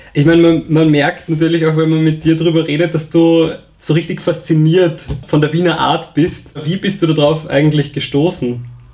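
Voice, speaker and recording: A man speaks in a fairly high pitch at a moderate pace. His delivery is monotone and flat, with very even loudness. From Vienna. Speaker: podcast host. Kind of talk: interview.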